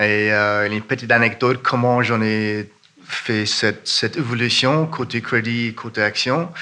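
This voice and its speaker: A man with an Irish accent talks at a medium pitch and a fairly slow pace. His intonation is fairly even. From Ireland. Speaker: fund manager. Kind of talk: conference panel talk. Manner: halting.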